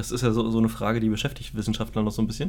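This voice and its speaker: Vocal fry runs through this man's voice. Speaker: podcast co-host. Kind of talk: casual chat. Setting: home studio with microphones. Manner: halting, repeats words.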